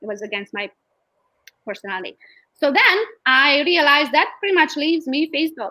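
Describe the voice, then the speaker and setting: Projecting in a raised voice, a woman with a high pitch and a bright, sharp tone talks at a fairly quick pace, her pitch swinging very widely between long, frequent pauses. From Romania. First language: Romanian. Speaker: real estate agent. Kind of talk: interview. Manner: animated.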